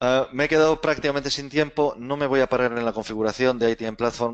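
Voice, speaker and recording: In a dry, close sound with no echo and a quiet background, a man with a Spanish accent talks at a fairly quick pace. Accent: Spain Spanish. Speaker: webinar presenter. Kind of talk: webinar presentation. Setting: online webinar. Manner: casual, filler-heavy.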